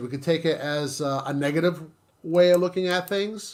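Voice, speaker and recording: A man's high-pitched voice at a moderate pace. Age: 60s. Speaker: YouTuber. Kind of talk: casual chat. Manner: halting.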